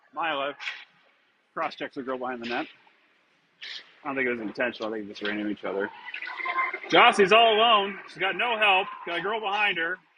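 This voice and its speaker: A loud, high-pitched man's voice at a very fast pace, with very wide pitch swings and long, frequent pauses. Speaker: amateur game commentator. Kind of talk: live commentary. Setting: ice rink. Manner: animated.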